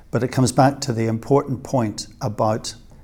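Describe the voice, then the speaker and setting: Somewhat breathy, a man speaks at a medium pitch with a dark, mellow tone and fairly even intonation. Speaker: surgeon. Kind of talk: interview.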